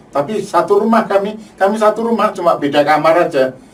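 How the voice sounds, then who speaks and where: Noticeable background noise sits behind a man who talks at a moderate pace with lively intonation. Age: 60s. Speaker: UN peacekeeping veteran. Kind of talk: testimony. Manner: halting, with repetitions.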